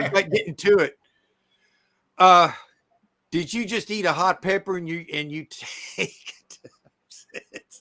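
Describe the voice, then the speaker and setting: A man projects a raised, high-pitched voice with a bright, sharp tone and big swings in loudness. His intonation stays fairly even as he speaks at a fairly slow pace, broken by long, frequent pauses. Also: dry, close sound with no echo. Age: 60s. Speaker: storage auction buyer, live streamer. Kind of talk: casual chat. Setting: live stream.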